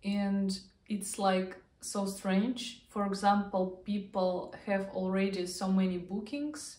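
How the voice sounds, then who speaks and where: Amid audible room echo, a woman with a Russian accent speaks very slowly with fairly even intonation. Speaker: vlogger. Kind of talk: casual vlog talk to camera.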